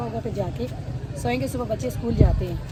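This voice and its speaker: The room echo is audible and background noise is noticeable as a woman delivers her words at a moderate speed. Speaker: family vlogger. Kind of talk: casual vlog chat. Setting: outdoors on rooftop. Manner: loud.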